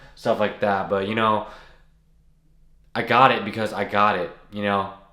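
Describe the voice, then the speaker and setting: Audible room echo surrounds the speaker, who talks at a moderate pace. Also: man. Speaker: content creator. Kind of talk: casual talking-head video. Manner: unedited, halting with restarts.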